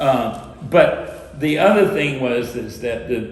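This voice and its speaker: Against noticeable background noise and audible room echo, a man talks at a fairly high pitch with lively intonation. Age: 60s. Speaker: former city council member. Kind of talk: panel discussion. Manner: animated; hesitant, filler-heavy.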